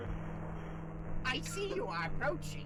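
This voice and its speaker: Loud music plays in the background behind a put-on character voice. The delivery is very slow. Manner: loud, goofy, enthusiastic.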